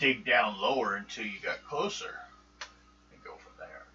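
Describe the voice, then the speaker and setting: Putting on a character voice, a man speaks at a moderate pace. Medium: actual play. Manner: blunt, practical.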